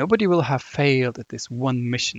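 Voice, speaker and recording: Speaking with a German accent, a man keeps a moderate pace. The sound is dry and close with no echo, over a quiet background. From Germany. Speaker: podcaster. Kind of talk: solo casual monologue, rambling.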